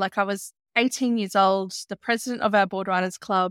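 In an Australian accent, a woman speaks at a medium pitch with fairly even intonation, the recording very clean with a silent background and a dry, close sound with no echo. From Australia, Byron Shire, New South Wales. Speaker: travel business owner and podcaster. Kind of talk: casual interview.

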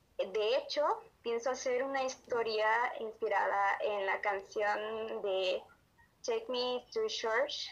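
A woman speaking at a very slow pace with very even loudness. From Honduras. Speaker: amateur writer. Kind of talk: interview.

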